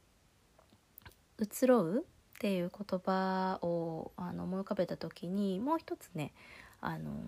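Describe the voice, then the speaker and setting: On a very clean recording with a silent background, a woman speaks at a very slow pace, with medium pitch and ordinary pitch variation. Her tone is relaxed, dark and mellow, with big swings in loudness. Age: 30s. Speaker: solo podcast host. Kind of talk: casual monologue. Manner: relaxed, hesitant with fillers.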